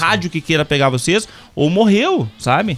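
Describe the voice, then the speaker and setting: A man with a high voice talks at a fairly quick pace with lively intonation over noticeable background noise. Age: 50s. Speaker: university professor of computing. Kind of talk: casual podcast chat.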